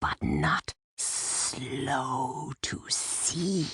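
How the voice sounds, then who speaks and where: This is a put-on character voice. It whispers and growls. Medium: audio drama. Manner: whispering, groveling.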